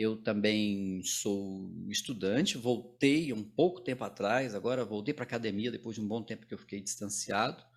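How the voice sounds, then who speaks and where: Over a silent background in a very clean recording, a man speaks at a fairly low pitch and a moderate pace with ordinary pitch variation. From Goiânia, Goiás, central Brazil (born in Maranhão, moved at age 4). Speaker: theatre teacher and director. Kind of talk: casual interview chat. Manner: halting, with repetitions.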